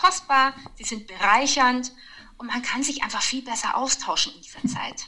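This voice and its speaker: A woman's high voice with big swings in loudness. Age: 30s. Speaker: mother of four. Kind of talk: casual chat.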